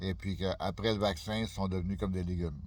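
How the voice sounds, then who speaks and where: The voice here belongs to a man. His pitch is very deep and low. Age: 60s. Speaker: YouTuber. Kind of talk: casual vlog monologue. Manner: halting, many fillers.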